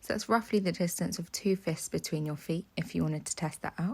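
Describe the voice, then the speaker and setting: A woman's fairly low, somewhat breathy voice at a moderate pace, with ordinary pitch variation, on a very clean recording with a silent background. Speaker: pilates instructor. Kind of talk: follow-along workout instruction. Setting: home workout video, instructing while exercising.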